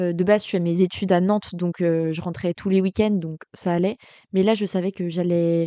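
At a moderate pace, a woman speaks in a monotone, flat way at a medium pitch. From western France, Cholet (Maine-et-Loire). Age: 20s. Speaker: graphic design student. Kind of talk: casual chat.

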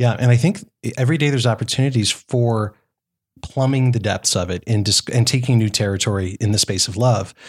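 Somewhat breathy, this man's medium-pitched voice moves at a fairly quick pace with ordinary pitch variation. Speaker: startup entrepreneur. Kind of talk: casual interview chat. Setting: podcast studio at a conference.

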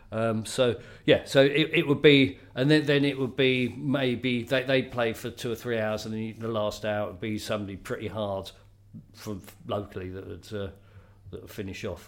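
Big swings in loudness mark this man's speech, at a medium pitch with ordinary pitch variation. He keeps a moderate pace. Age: 60s. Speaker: DJ. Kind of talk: casual chat. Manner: halting.

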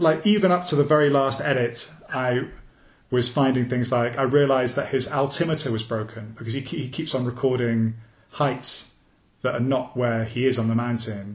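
A man speaks in a somewhat breathy voice at medium pitch. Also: ordinary pitch variation, moderate pace. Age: 40s. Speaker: journalist and author. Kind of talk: interview.

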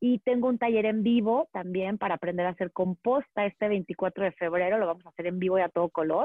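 A woman speaks at a medium pitch and a fairly quick pace, with ordinary pitch variation and hardly any pauses. She has a plain, everyday voice, and her loudness stays very even. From Mexico, Monterrey. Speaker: urban gardening and plant expert. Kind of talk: interview.

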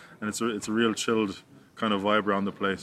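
In an Irish accent, a man with a fairly low pitch talks at a very fast pace in a monotone, flat delivery. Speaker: professional rugby player. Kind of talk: interview. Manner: halting, many repetitions.

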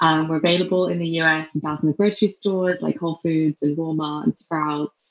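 Her pitch very deep and low, a woman keeps a moderate pace and fairly even intonation. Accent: English. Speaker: beverage company co-founder. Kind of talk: interview. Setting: remote call.

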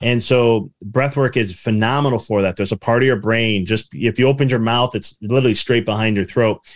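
A man with a Chicago accent at a medium pitch and fairly quick pace, hardly any pauses, fairly even intonation and very even loudness, in a very clean recording with a silent background. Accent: Chicago American. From US Midwest, Chicago suburbs. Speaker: business mindset coach and author. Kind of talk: interview.

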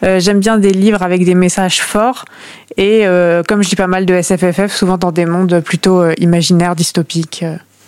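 At a moderate pace, a woman with a medium pitch talks in a monotone, flat intonation at very even loudness. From Normandy, France (near Caen). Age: 20s. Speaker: book club panelist, lawyer. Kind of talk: casual chat.

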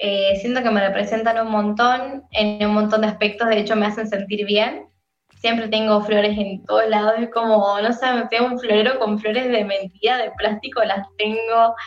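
A woman with a San Luis Argentine accent speaks at a fairly high pitch and moderate pace in a monotone, flat intonation. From Argentina, San Luis. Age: 20s. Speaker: singer. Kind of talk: casual interview.

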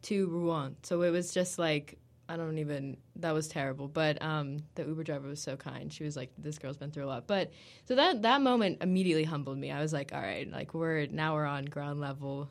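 With an American accent, a woman speaks in a very deep, low voice. Her pace is moderate and her pitch variation ordinary. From United States. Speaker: university student. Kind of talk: casual interview.

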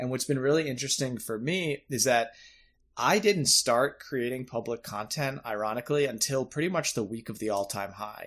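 The speaker is a man with an unremarkable speaking voice at medium pitch, keeping a moderate pace and ordinary pitch variation on a very clean recording with a silent background. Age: 30s. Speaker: podcast host. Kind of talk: interview. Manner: casual.

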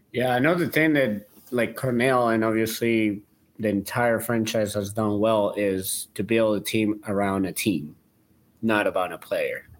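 On a very clean recording with a silent background, a man with a Spanish accent talks at medium pitch with very even loudness. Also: ordinary pitch variation, fairly slow pace. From Colombia. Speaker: soccer fan and player agent. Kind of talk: casual sports podcast chat. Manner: halting.

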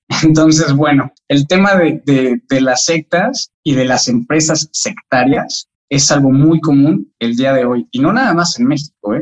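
A man with a normal speaking voice talks in a fairly high pitch with ordinary variation. His pace is fairly slow with hardly any pauses, and the sound is dry and close with no echo. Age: 30s. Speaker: sociologist. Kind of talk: interview.

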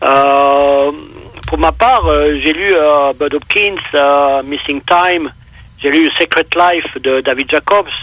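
Noticeable background noise runs through the clip. The man's pitch is fairly high. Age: 60s. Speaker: UFO witness and researcher. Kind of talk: casual interview. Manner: hesitant, repeats words.

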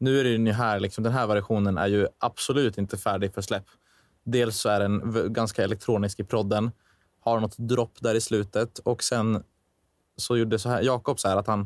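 A man speaks at a fairly low pitch and a moderate pace, in a monotone, flat intonation. The sound is dry and close with no echo, on a very clean recording with a silent background. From Dalarna, Sweden (Falun). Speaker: songwriter and musician, student. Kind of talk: casual chat.

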